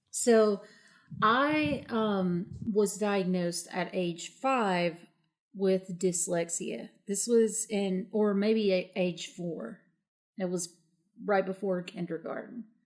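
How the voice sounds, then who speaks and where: In an Appalachian accent, a woman speaks at a very slow pace with ordinary pitch variation. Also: medium pitch for a woman. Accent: Appalachian, noticeable. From southern West Virginia, Appalachia. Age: 40s. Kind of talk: interview.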